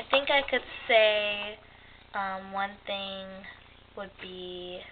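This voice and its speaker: The pace of this woman is very slow. Her intonation holds fairly even. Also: big swings in loudness. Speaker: YouTuber. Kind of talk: casual chat. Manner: proper, no slang.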